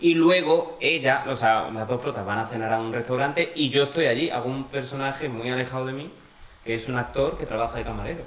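A man at a fairly quick pace, amid audible room echo and noticeable background noise. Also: medium pitch for a man, ordinary pitch variation. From Andalusia, Linares (Jaén). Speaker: drag performer. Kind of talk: casual chat.

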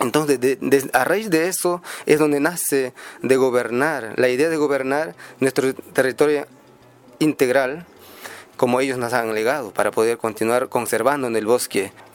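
Over music in the background, a man at a medium pitch speaks with long, frequent pauses. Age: young. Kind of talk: radio interview. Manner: halting.

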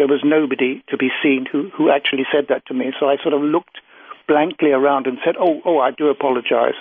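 Fairly high in pitch, a man speaks with a British accent. His intonation is fairly even and his pace moderate. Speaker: UFO researcher and author. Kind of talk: interview conversation.

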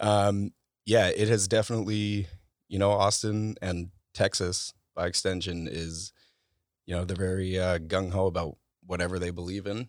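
A man with an American accent and a very deep, low pitch, monotone, flat intonation, and long, frequent pauses, on a very clean recording with a silent background. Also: moderate pace. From US West Coast (Bay Area). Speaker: content creator, photographer. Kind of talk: casual interview chat. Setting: in-person studio recording.

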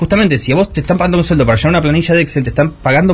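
This man's somewhat breathy voice carries lively intonation. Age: 30s. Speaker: youtuber. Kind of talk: interview.

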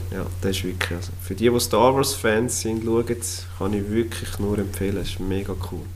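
A man's very deep, low voice with fairly even intonation and hardly any pauses, over noticeable background noise. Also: moderate pace. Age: 30s. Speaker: podcast co-host, construction site manager. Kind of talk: casual chat.

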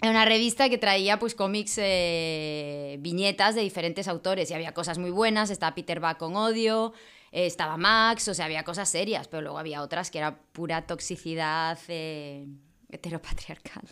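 A woman at a moderate pace, fairly low in pitch, with ordinary pitch variation, a bright, sharp tone and a very clean recording with a silent background. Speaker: wine marketer and event promoter. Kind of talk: casual chat.

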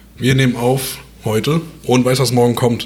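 Against noticeable background noise, a man's medium-pitched voice moves at a moderate pace. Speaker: podcast co-host. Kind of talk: casual chat. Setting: at home at his dining table.

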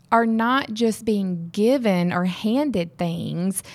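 Lively intonation at a very slow pace, with a Southern US accent. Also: woman. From Mississippi. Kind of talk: casual chat.

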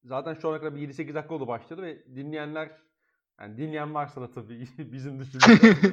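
A man talks in an ordinary speaking voice, fairly high in pitch with ordinary pitch variation. He goes at a fairly quick pace, and his loudness swings widely. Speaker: podcast host. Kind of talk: casual chat.

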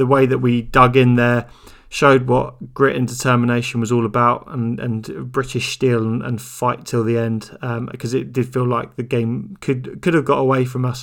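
Vocal fry colors a man's medium-pitched voice, which shows little pitch movement. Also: moderate pace.

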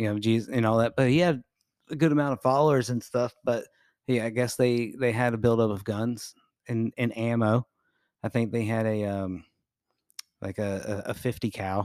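A man with an American accent talks at a medium pitch and a moderate pace, with fairly even intonation and long, frequent pauses. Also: dry, close sound with no echo. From Jacksonville area, Florida. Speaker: podcast co-host. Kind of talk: casual chat.

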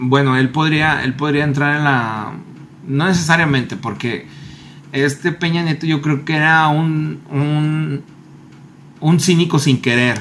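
A man's fairly high voice with a Mexican accent, very slow and fairly even, with long, frequent pauses. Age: 30s. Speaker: podcast co-host. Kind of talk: casual chat.

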